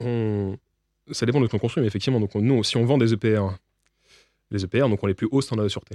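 Recorded dry and close with no echo against a silent background, a man with a dark, mellow tone and medium pitch talks at a very fast pace with fairly even intonation, broken by long, frequent pauses. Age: 20s. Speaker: nuclear engineer. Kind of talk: interview.

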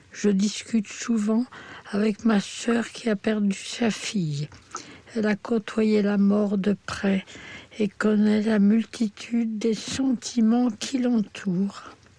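The speech goes at a very slow pace with fairly even intonation and very even loudness, over noticeable background noise. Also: woman, fairly high pitch for a woman. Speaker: terminally ill woman. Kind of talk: reading aloud a personal testimony.

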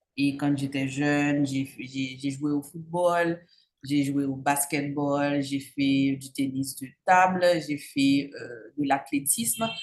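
Very slowly, a woman speaks at a very deep, low pitch. Her intonation is fairly even. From Haiti, Cap-Haïtien. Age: young. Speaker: entrepreneur. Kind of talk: interview. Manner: halting, many fillers.

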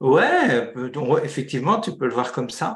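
The speech moves at a very slow pace. It comes from a man with a somewhat breathy voice. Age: 60s. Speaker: entrepreneur. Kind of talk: interview. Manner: halting.

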